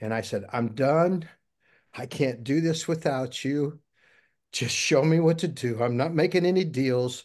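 Against a quiet background, a man talks in a plain, everyday voice. He has an American accent and a fairly high pitch. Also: ordinary pitch variation, fairly slow pace. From US Midwest, Missouri. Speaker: interview guest, navy veteran. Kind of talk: interview, personal testimony.

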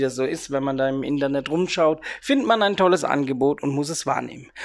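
Lively intonation marks a man speaking at a moderate pace on a very clean recording with a silent background. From Rhein-Neckar area near Heidelberg, Germany. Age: 30s. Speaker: podcast host, youth worker and DJ. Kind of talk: casual solo podcast monologue.

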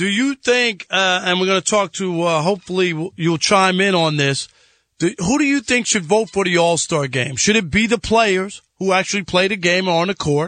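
With a New York accent, a man speaks in a raised, projected voice at a moderate pace, his high pitch carrying a bright, sharp tone, ordinary pitch variation and very even loudness against a quiet background. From New York (Jamaica, Queens). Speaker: guest sports radio host, former sportswriter. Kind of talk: casual sports talk radio.

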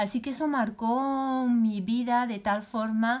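A woman is speaking. She has a Spanish accent. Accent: Peninsular Spanish. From Spain. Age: 50s. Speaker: podcast host, life coach. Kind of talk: personal storytelling.

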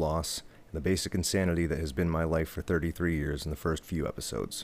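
The recording is very clean, its background silent. In it, a man talks at a very fast pace. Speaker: podcast host and bassist. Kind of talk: scripted podcast intro.

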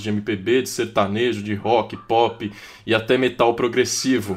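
A man speaks at a fairly slow pace and a medium pitch. His intonation is monotone and flat. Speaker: podcast host. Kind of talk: casual podcast discussion.

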